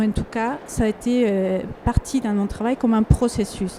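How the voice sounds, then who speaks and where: At a fairly slow pace, a woman with a Spanish accent speaks at a fairly high pitch with fairly even intonation. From Ecuador. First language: Spanish (speaking French). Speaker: artist. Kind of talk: panel discussion. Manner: halting, many fillers and repetitions.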